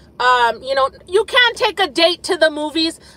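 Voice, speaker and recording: A woman projects a raised voice with a bright, sharp tone. She keeps a moderate pace, and the sound is dry with no echo. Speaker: live streamer. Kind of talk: casual live stream chat. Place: car. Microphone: phone near.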